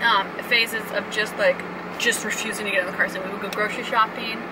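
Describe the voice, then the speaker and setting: Loud background noise fills the recording. A woman speaks at a fairly quick pace. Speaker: parent vlogger. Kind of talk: casual vlog chat. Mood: calm, reflective. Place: car. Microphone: phone near.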